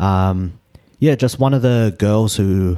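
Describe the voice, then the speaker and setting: A man with a New Zealand accent, a very deep, low pitch and a dark, mellow tone, at a fairly slow pace with ordinary pitch variation. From New Zealand (Auckland). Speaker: personal trainer, vegan bodybuilder. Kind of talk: casual interview. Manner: halting, many fillers.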